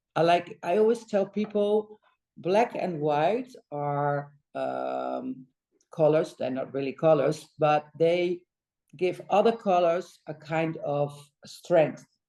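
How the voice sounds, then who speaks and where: A woman with a Dutch accent, fairly low pitch and a dark, mellow tone, at a very slow pace with ordinary pitch variation. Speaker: interior designer. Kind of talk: interview conversation. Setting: design studio. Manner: halting, many fillers.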